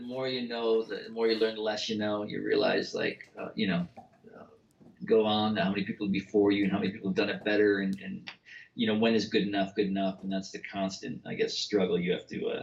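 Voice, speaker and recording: A man mumbles at a fairly quick pace in a fairly low pitch. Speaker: novelist. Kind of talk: casual chat. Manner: fast, excitable; mumbling, slurred.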